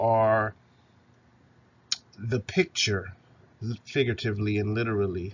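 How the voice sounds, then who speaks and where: The voice is somewhat breathy and the pace fairly slow. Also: man. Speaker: university instructor. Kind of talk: recorded lecture.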